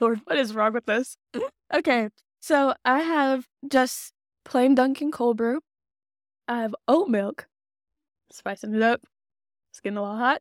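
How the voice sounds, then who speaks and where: Speaking fairly slowly with an American accent, this voice has ordinary pitch variation, big swings in loudness, and long, frequent pauses, recorded very cleanly with a silent background and a dry, close sound with no echo. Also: woman, high pitch for a woman. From Texas, Dallas area. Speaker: podcast co-host. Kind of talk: casual chat.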